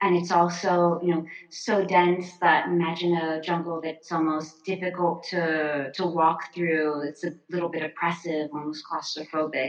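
A woman with an American accent speaks in a monotone at a moderate pace, with fairly low pitch, hardly any pauses and noticeable background noise. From US, Florida. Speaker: artist and designer. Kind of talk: casual interview chat.

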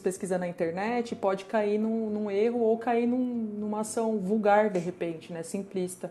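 Against noticeable background noise, a woman with a fairly high voice speaks at a moderate pace with fairly even intonation. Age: 30s. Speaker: designer. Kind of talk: casual chat.

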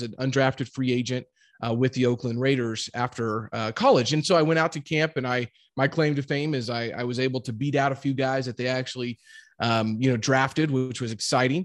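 A man with a Midwestern American accent and medium pitch talks at a fairly quick pace with fairly even intonation, the sound dry and close with no echo against a quiet background. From US Midwest, Jefferson City, Missouri. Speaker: real estate investor, former football player. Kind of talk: interview.

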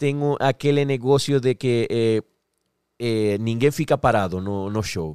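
Speaking at a fairly slow pace in a Spanish accent, a man is heard on a very clean recording with a silent background and a dry, close sound with no echo. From Venezuela. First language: Spanish (speaking Portuguese). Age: 40s. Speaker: singer-songwriter. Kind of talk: casual chat.

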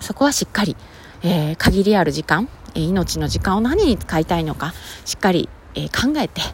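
Moderate-paced speech from a woman, noticeable background noise behind her. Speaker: podcaster. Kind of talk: casual solo talk.

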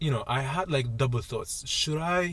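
His voice somewhat breathy, a man talks with lively intonation. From UAE, Palestinian Jordanian family. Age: 20s. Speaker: video producer. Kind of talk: casual chat. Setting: studio.

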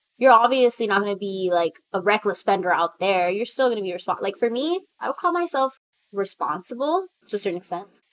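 A woman's medium-pitched voice with an American accent, very fast and lively in intonation, on a very clean recording with a silent background. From US, Salvadoran family. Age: 20s. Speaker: artist and writer. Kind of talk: casual interview chat.

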